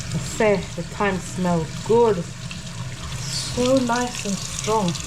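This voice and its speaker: In a Jamaican accent, a woman speaks at a very slow pace and a medium pitch with very wide pitch swings, amid noticeable background noise and audible room echo. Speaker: gardening vlogger. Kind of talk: casual vlog narration. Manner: casual and chatty.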